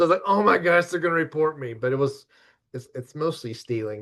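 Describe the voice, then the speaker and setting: At a fairly quick pace, a man speaks in a somewhat breathy voice against a quiet background. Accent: American. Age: 60s. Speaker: licensed professional counselor. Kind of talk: webinar presentation. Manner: halting.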